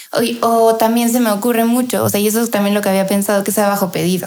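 With fairly even intonation, a woman speaks at a very fast pace in a fairly high pitch. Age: 20s. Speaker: chef and food influencer. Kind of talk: interview.

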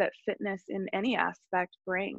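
At a moderate pace, a woman speaks with vocal fry in a dry, close sound with no echo. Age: 30s. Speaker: breathwork and mindset coach. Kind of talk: casual chat.

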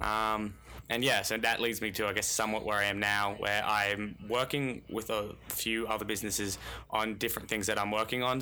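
A bright, sharp tone in an Australian accent at a fairly quick pace. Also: man. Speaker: personal finance blogger. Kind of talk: casual chat.

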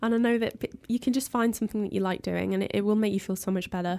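A woman with a fairly high pitch and a dark, mellow tone speaks with monotone, flat intonation in a very clean recording with a silent background. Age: 20s. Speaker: music journalist. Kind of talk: casual interview.

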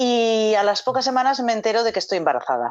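A woman talks in a plain, everyday voice at a fairly high pitch and a fairly quick pace, with ordinary pitch variation. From Galicia, Spain. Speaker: actress. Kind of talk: casual chat.

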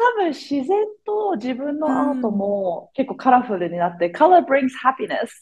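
A woman speaks in a high pitch that swings very widely. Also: moderate pace. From Kenya (Nairobi), raised abroad from age 2. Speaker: business owner and artist. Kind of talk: interview. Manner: cheerful, energetic.

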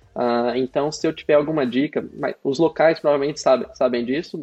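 Over music in the background, a man speaks at a moderate pace with ordinary pitch variation. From Brazil, interior of Paraná (near Londrina). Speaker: cloud specialist. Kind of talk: casual interview.

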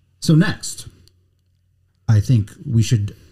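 Very slowly, a man speaks with a fairly low, dark, mellow tone, somewhat breathy, with lively intonation. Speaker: podcast host. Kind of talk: casual chat.

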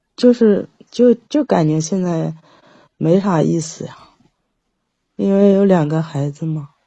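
With big swings in loudness and lively intonation, a woman talks fairly slowly at a fairly low pitch, somewhat breathy and with long, frequent pauses. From Jiangsu, China. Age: 40s. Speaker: caller seeking relationship advice. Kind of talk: call-in advice conversation.

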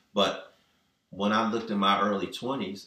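A fairly low male voice with a bright, sharp tone and ordinary pitch variation, at a moderate pace with audible room echo. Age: 50s. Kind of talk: casual chat.

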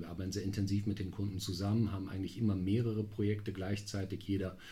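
A man's somewhat breathy, dark and mellow voice, fairly low in pitch, monotone and flat, at a very fast pace, with audible room echo. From Münster, western Germany. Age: 40s. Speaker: strategy consulting partner. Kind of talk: podcast interview. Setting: studio, sitting across from host.

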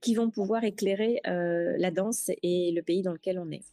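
This woman takes a fairly slow pace, and the sound is dry and close with no echo. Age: 40s. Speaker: travel agency founder. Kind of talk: interview. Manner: hesitant, frequent fillers.

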